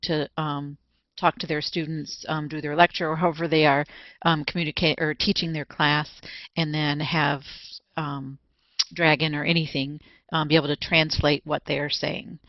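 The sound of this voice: At a moderate pace, a woman speaks low for her sex with little pitch movement, in a dry, close sound with no echo.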